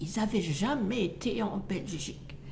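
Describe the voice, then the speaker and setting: Amid noticeable background noise and audible room echo, a woman speaks very slowly at a medium pitch with very wide pitch swings. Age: 80s+. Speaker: retiree. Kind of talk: testimony.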